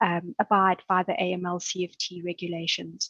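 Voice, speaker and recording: The voice has a South African accent and a dry, close sound with no echo. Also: woman. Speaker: banker. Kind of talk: webinar panel discussion.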